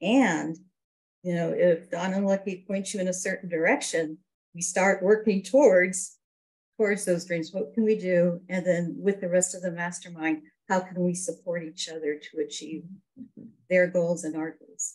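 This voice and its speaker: With a plain, everyday voice, a woman of medium pitch talks at a moderate pace and with fairly even intonation. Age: 60s. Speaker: network marketing business member. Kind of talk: interview.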